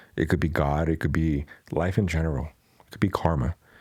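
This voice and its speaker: A man with a Spanish accent speaks in a very deep, low pitch with a dark, mellow tone. His intonation stays fairly even. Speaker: podcast host and tattoo artist. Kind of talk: casual Q&A podcast monologue.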